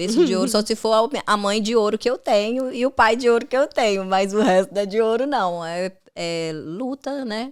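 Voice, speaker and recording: In a very clean recording with a silent background, a woman with a Minas Gerais accent speaks at a moderate pace and fairly high pitch with ordinary pitch variation. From Brazil, Minas Gerais (Governador Valadares). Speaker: makeup artist. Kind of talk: casual chat.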